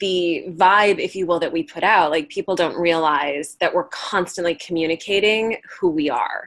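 In a very clean recording with a silent background, a woman with an American accent speaks at a fairly low pitch with ordinary pitch variation. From Chicago. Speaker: actor and presence coach. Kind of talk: mentoring session.

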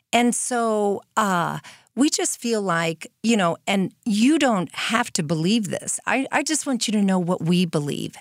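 In a plain, everyday voice, a woman speaks at a medium pitch with lively intonation. The recording is very clean, with a silent background. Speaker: nonprofit co-founder. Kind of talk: interview. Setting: studio. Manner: warm and effusive.

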